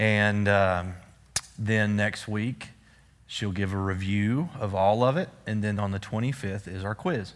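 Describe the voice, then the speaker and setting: Speaking very slowly, a man with a Texan accent keeps a fairly low pitch and fairly even intonation. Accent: Texan Southern US. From East Texas. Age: 40s. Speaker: Bible study teacher. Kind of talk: Bible study lesson.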